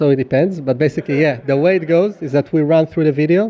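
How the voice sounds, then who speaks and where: A man with an Israeli accent talks very fast, his intonation fairly even. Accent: Middle Eastern (Israeli). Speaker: startup founder pitching. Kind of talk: product pitch in live Q&A. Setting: stage with live audience.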